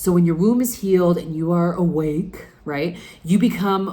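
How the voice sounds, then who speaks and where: A woman's voice, fairly low in pitch, moves at a moderate pace. Audible room echo fills the recording. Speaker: spiritual coach podcast host. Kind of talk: solo podcast monologue.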